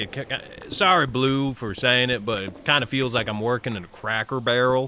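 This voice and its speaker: Noticeable background noise sits behind a man's medium-pitched voice. He talks at a fairly quick pace with ordinary pitch variation. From US Midwest, Ohio. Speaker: gaming streamer. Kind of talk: casual live-stream chat.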